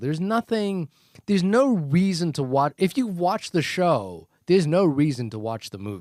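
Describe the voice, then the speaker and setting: A man with a fairly high pitch speaks at a moderate pace, his voice making very wide pitch swings. The sound is dry and close with no echo, on a very clean recording with a silent background. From New Zealand. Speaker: podcast co-host. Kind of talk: casual conversational.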